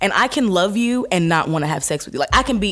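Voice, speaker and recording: Lively intonation marks this woman's speech, heard over noticeable background noise. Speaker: guest, singer and actress. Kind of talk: casual chat, banter.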